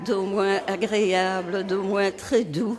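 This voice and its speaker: Music plays in the background. Over it, a woman talks at a very slow pace. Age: 80s+. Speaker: nursing home resident. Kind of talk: casual chat.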